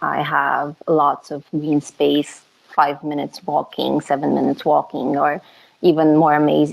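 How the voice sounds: A woman talks at a fairly slow pace with a low pitch. Vocal fry runs through her speech.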